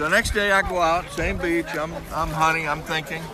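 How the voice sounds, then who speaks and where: Amid audible room echo and noticeable background noise, a man speaks in an animated tone at a fairly high pitch and a moderate pace. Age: 70s. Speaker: retired beachcomber. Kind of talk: interview storytelling. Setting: outdoors at beach, in water.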